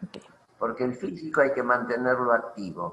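A man at a moderate pace. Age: 80s+. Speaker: retired engineer and inventor. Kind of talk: interview conversation.

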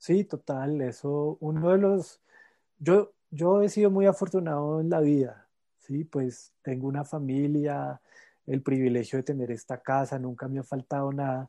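A man's fairly high, dark, mellow voice at a fairly slow pace, with ordinary pitch variation, in a dry, close sound with no echo and a quiet background. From Colombia, La Calera near Bogotá. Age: 30s. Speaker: organic farmer. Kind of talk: interview. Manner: hesitant, frequent repetitions.

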